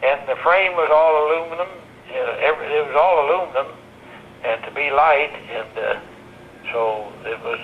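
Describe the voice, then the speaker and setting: With noticeable background noise, a man of fairly high pitch and ordinary pitch variation speaks at a moderate pace, with long, frequent pauses. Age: 80s+. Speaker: retired WWII bomber factory inspector. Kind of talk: interview answer.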